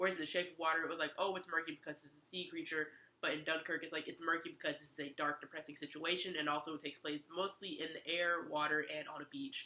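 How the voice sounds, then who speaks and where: A woman speaks at a very fast pace with hardly any pauses, in an enthusiastic tone. Her loudness swings widely. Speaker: movie reviewer. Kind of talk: casual movie review to camera. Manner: casual, enthusiastic.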